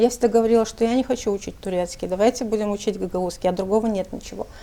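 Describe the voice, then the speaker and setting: A woman's medium-pitched voice at a very fast pace, with fairly even intonation and noticeable background noise. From Moldova, Gagauzia. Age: 40s. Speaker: journalist and writer. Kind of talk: interview. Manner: hesitant fillers.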